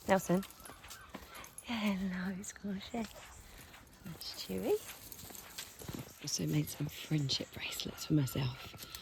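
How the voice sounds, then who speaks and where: Very quiet and very slow, a woman with a southern English accent speaks at fairly low pitch with lively intonation and long, frequent pauses. Noticeable background noise sits behind her. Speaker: vlogger. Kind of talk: casual vlog talk to camera. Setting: outdoors on a dog walk.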